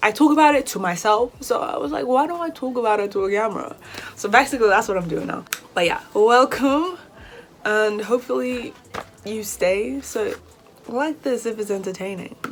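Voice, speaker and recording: Over noticeable background noise, a woman with a British accent speaks at a moderate pace in a fairly high voice with very wide pitch swings. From Nigeria. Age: 20s. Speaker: hair vlogger, university student. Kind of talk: casual vlog talk to camera. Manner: animated.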